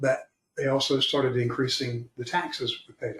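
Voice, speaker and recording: Somewhat breathy and fairly high in pitch, a man's voice shows ordinary pitch variation. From Florida. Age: 70s. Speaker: retirement planner. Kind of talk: podcast interview.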